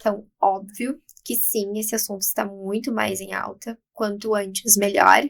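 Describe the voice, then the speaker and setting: The woman's pitch is medium. Her intonation stays monotone and flat. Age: 20s. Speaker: aesthetics clinician. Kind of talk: podcast interview.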